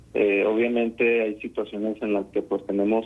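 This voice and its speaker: With music in the background, a man talks at a moderate pace in a medium pitch, his intonation monotone and flat. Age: young. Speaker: psychologist. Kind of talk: radio interview. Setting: phone call.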